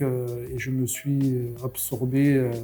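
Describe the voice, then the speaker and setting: Over music in the background, a man talks with a southwestern French accent. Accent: singing southwest French. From southwest France (near Caussade, Tarn-et-Garonne). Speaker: craft brewer. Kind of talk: podcast interview. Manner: hesitant, many fillers (euh).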